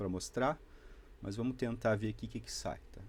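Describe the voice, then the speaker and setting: A man talks at medium pitch and a moderate pace, his intonation fairly even, on a very clean recording where the background is silent. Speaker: electronics hobbyist youtuber. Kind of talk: tutorial.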